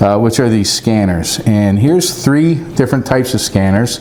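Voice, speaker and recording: Someone speaks at a moderate pace amid noticeable background noise. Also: man. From US East Coast. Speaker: radio hobbyist YouTuber, former law enforcement. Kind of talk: casual product review vlog. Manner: loud.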